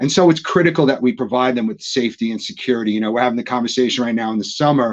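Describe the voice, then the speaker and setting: This man talks very fast at a medium pitch, varying it in an ordinary way. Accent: American. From New York. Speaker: technology industry executive. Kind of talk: panel discussion webinar. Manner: halting, frequent repetitions.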